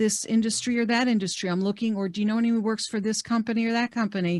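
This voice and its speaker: A woman with an American accent talks very fast in a fairly high, somewhat breathy voice with fairly even intonation. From New York metro area. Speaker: career coach. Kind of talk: webinar presentation. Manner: conversational, many fillers.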